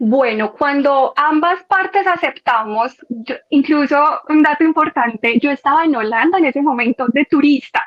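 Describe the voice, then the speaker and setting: A woman speaks in a paisa accent at a high pitch, with ordinary pitch variation. She talks at a fairly slow pace with hardly any pauses. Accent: paisa Medellín. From Colombia, Medellín (paisa). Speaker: former au pair. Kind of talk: podcast interview.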